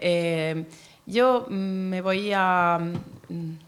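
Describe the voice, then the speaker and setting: The speaker is a woman with a medium pitch. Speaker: poet and diplomat. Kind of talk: panel talk. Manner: hesitant, many fillers.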